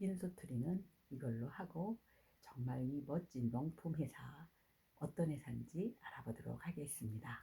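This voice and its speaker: Her voice very deep and low, a woman speaks at a fairly slow pace with a dark, mellow tone, some breathiness and lively intonation. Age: 60s. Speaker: network marketing distributor. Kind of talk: testimony.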